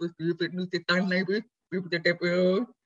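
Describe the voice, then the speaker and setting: The woman's voice is somewhat breathy. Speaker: author and fitness coach. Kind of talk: interview. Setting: video call from her garage gym. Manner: halting.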